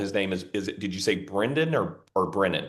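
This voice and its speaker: A man speaks with a Southern US accent. Audible room echo follows his voice. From US South, Mississippi. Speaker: podcast host. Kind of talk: interview conversation.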